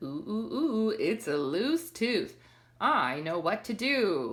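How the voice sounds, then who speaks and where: A put-on character voice at fairly high pitch moves along at a very slow pace. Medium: read story.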